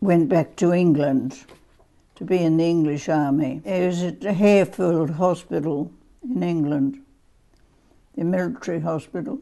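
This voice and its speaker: A woman with an Australian accent, a fairly low pitch, and a dark, mellow tone, lively in intonation, speaking at a fairly slow pace with long, frequent pauses. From South Australia, Adelaide. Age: 80s+. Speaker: family history interviewee. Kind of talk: oral history interview. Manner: halting.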